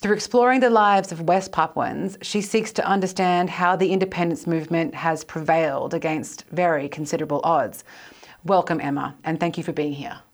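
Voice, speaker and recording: Talking at a fairly quick pace, a woman uses a plain, everyday voice with ordinary pitch variation. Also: fairly low pitch for a woman. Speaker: historian, podcast co-host. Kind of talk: interview.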